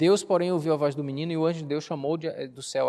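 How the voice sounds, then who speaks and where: A man with a fairly high pitch against a quiet background. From Brazil, Bahia (near Cachoeira). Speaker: pastor. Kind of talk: sermon. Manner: conversational, engaging the audience.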